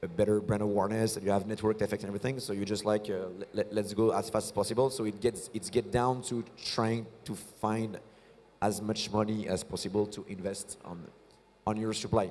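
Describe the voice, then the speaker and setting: A man with a French accent talks at a fairly quick pace. His fairly low voice stays flat and monotone. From France. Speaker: start-up founder and CEO. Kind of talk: on-stage interview. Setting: stage at tech conference. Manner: halting, many fillers and repetitions.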